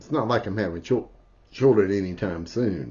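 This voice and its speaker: A man's very deep, low-pitched, somewhat breathy voice. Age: 50s. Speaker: spiritual vlogger. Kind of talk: personal video diary. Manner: halting, many fillers; interrupted by hiccups.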